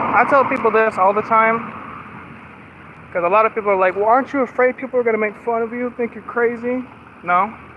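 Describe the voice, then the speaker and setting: A man talks at a very fast pace with an extremely high pitch and fairly even intonation, yet leaves long, frequent pauses. Noticeable background noise sits behind him. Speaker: live streamer. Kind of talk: casual live stream chat while walking. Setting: outdoors, walking. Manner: slurred words; talkative, constant chatter.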